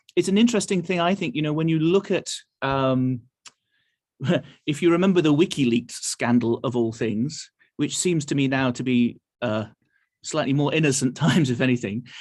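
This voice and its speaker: With an English accent, a man talks at a moderate pace with lively intonation and long, frequent pauses. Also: fairly high pitch for a man. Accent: English accent, noticeable. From England, Nottingham. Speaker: orchestra conductor.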